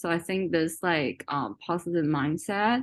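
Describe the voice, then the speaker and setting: Against a quiet background, a woman with a Chinese accent speaks at a fairly slow pace in a fairly low pitch with ordinary pitch variation. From China. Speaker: workshop participant. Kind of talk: casual sharing in a workshop. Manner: halting, many fillers.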